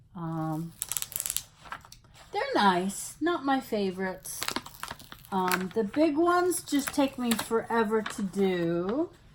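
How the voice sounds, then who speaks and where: Over noticeable background noise, a woman with a fairly high pitch talks at a very slow pace, her pitch swinging very widely and her speech broken by long, frequent pauses. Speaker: craft hobby youtuber. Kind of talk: casual unboxing video. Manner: distracted, halting.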